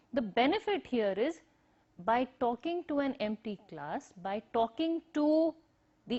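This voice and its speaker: A woman with an Indian accent speaks in a high voice at a fairly slow pace, her intonation lively. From northern India, Himachal. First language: Hindi, Punjabi, Urdu mixed. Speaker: university lecturer. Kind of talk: recorded lecture. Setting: empty classroom, recorded on camera.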